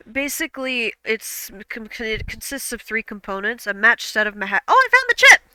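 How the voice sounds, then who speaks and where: Hardly pausing at all, a woman with a slight Midwestern accent and a fairly high pitch speaks at a moderate pace with fairly even intonation and big swings in loudness, the sound dry and close with no echo. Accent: regional Midwest, slight. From US Midwest. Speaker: streamer. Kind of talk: casual chat. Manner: halting.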